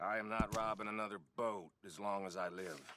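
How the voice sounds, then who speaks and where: This put-on character voice is raspy, with fairly even intonation. It moves at a moderate pace. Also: man, fairly low pitch for a man. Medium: video game. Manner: cocky, joking.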